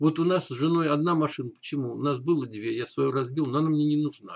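Someone talks at a very fast pace with ordinary pitch variation against a quiet background. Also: man. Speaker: vlogger. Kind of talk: casual vlog chat. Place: home room. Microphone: webcam.

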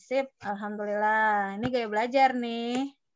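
A woman speaks at a fairly slow pace over a quiet background. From West Java, Bandung; West Java. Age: 40s. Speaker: education consultant. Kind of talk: online workshop talk. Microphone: video call.

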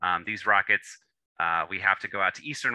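Against a quiet background, a man speaks in a bright, sharp tone with a dry sound and no echo. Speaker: presenter. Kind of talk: lecture. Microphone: video call.

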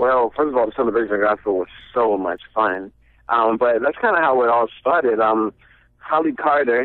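With an American accent, a man speaks at a medium pitch and a moderate pace. His loudness stays very even, and his pitch variation is ordinary. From US South, Savannah, Georgia. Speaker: recording artist. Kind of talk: radio interview.

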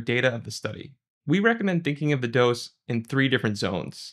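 A man talking at a fairly quick pace against a quiet background. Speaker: presenter. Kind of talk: lecture. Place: studio.

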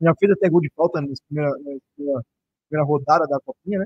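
The sound is dry with no echo as a man speaks in a fairly high pitch with ordinary pitch variation. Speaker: football commentator. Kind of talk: live sports talk show. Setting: studio. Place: studio. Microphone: studio mic.

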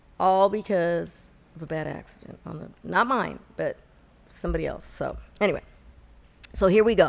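Speaking at a moderate pace, a woman leaves long, frequent pauses. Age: 50s. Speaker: podcast co-host. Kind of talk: casual chat. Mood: animated gossip, storytelling. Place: studio. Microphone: studio mic.

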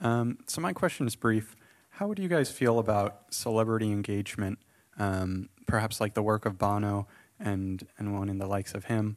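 The man has an unremarkable speaking voice, fairly low, with ordinary pitch variation. He talks at a moderate pace against a quiet background. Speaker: event moderator. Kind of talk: panel moderation. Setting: stage with audience. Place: hall. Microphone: handheld.

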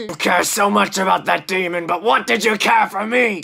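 Putting on a character voice, the man pitches it high and keeps a moderate pace. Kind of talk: comic overacting. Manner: grandiose, menacing monologuing.

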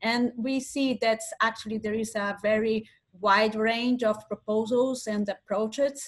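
A woman with a Portuguese accent speaks fairly slowly in a fairly high, somewhat breathy voice with flat, monotone intonation against a quiet background. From Brazil. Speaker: science communication researcher and lecturer; lecturer. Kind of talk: webinar presentation. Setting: video call. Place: home room. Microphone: video call.

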